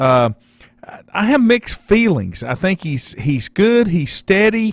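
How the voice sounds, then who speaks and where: A man speaks very slowly in a high voice, his pitch swinging very widely. The sound is dry and close, with no echo. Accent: Southern US. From North Carolina. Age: 60s. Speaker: sports talk radio host. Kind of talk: radio interview.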